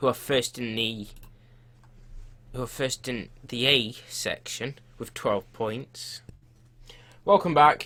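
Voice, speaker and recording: With a bright, sharp tone and ordinary pitch variation, a man speaks at a very slow pace marked by long, frequent pauses. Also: medium pitch for a man. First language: not Portuguese. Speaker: gaming commentator. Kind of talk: gameplay commentary. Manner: casual, halting.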